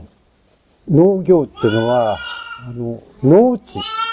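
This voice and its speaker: At a fairly slow pace, a man with a fairly high pitch speaks in very wide pitch swings. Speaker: sheep farmer. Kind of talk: interview. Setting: outdoors on a farm.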